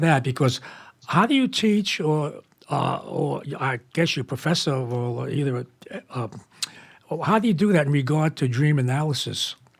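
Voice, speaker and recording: With lively intonation, a man speaks at a moderate pace in a fairly high, somewhat breathy voice. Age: old. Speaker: radio host. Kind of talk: casual chat. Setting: studio.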